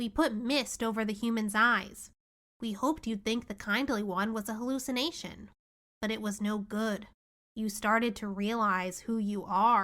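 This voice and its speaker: A woman puts on a character voice at a fairly high pitch, moving at a moderate pace on a very clean recording with a silent background. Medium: read story. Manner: nervous, bleating laugh.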